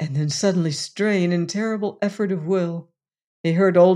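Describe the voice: The reading aloud is plain. Nothing stirs in the background.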